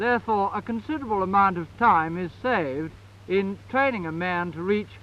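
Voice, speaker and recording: High-pitched male voice, raised and projected, with lively intonation at a moderate pace. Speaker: army officer giving a rifle briefing. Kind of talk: newsreel briefing on military equipment. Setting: archival 1954 film recording.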